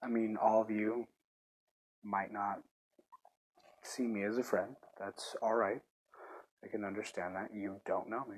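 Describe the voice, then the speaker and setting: A man speaks at a fairly low pitch in a monotone, flat delivery. His pace is fairly slow, broken by long, frequent pauses. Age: young. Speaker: gaming podcaster. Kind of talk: casual chat. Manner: halting.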